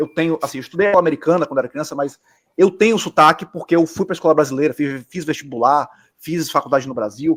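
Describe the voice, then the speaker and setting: A man with a Bahian accent, fairly high in pitch, with ordinary pitch variation. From Bahia, Brazil. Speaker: architect. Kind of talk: casual chat.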